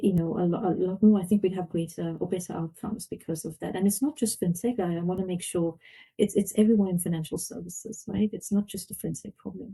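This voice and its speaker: Very fast and with hardly any pauses, a woman with a South African accent speaks at medium pitch in a somewhat breathy, dark, mellow tone with fairly even intonation. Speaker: fintech board member. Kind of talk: podcast interview.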